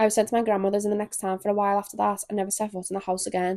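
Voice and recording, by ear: With a slightly mellow tone, a woman speaks at a very fast pace with little pitch movement. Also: medium pitch for a woman.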